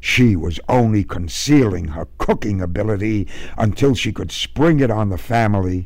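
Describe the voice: Someone reads aloud plainly, the intonation rising and falling in a lively way.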